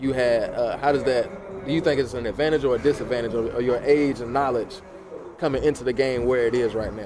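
A man talks fairly quickly at a medium pitch, varying it in an ordinary way, while noticeable background noise continues. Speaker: podcast host. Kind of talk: live interviews at a concert. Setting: live venue with audience.

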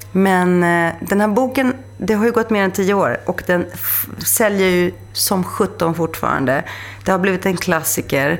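With a Greek accent, a woman speaks at a fairly slow pace amid noticeable background noise. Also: medium pitch for a woman, ordinary pitch variation. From Greece, then Rinkeby, Stockholm. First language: Greek (speaking Swedish). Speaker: author and journalist. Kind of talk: interview. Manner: animated.

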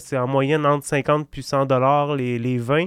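In a Quebec accent, a man talks at a very slow pace with fairly high pitch. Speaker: wine podcast host. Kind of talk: casual chat. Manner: halting.

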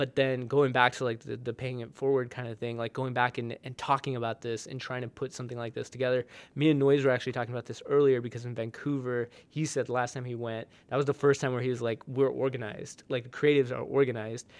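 A man with a US West Coast accent talks very fast at a medium pitch, with hardly any pauses. His intonation is monotone and flat, and the recording is very clean with a silent background. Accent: US West Coast American. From US West Coast (born in India, moved young). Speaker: photographer. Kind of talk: casual interview. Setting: studio.

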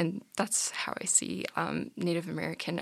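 A woman is whispering. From North Dakota. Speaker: art history student. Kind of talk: interview.

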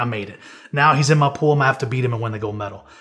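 A man speaks with a Texan accent. Noticeable background noise runs under his voice. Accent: Texan American. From Texas, Amarillo. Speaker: Olympic wrestler. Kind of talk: interview storytelling.

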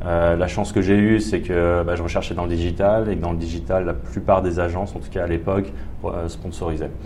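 With audible room echo and noticeable background noise, a man with a very deep, low voice talks at a fairly quick pace. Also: ordinary pitch variation. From Paris, France. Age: 30s. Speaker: entrepreneur. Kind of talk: interview. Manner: hesitant, many fillers.

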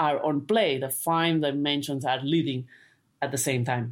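At a moderate pace, a woman with a Spanish accent speaks on a very clean recording with a silent background. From Spain. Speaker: sustainability researcher and book co-author. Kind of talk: interview. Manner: halting.

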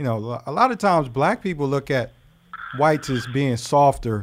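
A man with lively intonation talks at a moderate pace and a medium pitch. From Philadelphia, US. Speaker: author and youth worker. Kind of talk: casual chat.

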